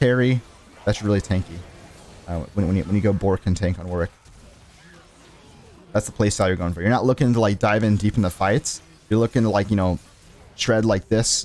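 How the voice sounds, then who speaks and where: A man's fairly low voice at a fairly quick pace, with ordinary pitch variation, long, frequent pauses and music in the background. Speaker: gaming commentator. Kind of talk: gameplay commentary. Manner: casual, filler-heavy.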